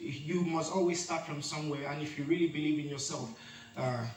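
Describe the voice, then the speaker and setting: A man with a Nigerian accent, fairly high-pitched and fairly even in intonation, against noticeable background noise and audible room echo. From Lagos, Nigeria. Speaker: reality show contestant. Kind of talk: testimony. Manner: halting.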